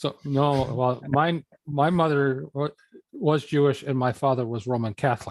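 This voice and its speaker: At a moderate pace, a man uses an ordinary speaking voice with a fairly high pitch and fairly even intonation, the sound dry and close with no echo. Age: 60s. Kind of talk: casual chat.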